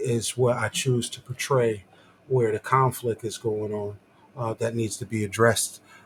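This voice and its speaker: A soft-spoken man's medium-pitched voice, somewhat breathy, monotone with flat intonation. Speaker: visual artist. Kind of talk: casual chat. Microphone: too quiet, facing away from mic.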